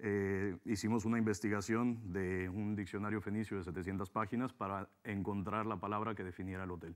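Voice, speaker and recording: Fairly low-pitched man with monotone, flat intonation at a moderate pace with hardly any pauses, against a quiet background. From Mexico. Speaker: hotel businessman; interviewee. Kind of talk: interview. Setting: TV studio. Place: studio. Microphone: lapel.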